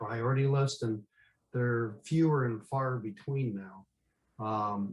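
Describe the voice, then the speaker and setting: With an American accent, a man speaks at a fairly slow pace at a medium pitch. His voice is somewhat breathy and his intonation fairly even. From Upper Peninsula of Michigan, US. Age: 60s. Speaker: workshop participant. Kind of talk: casual group chat introduction. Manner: hesitant, many fillers.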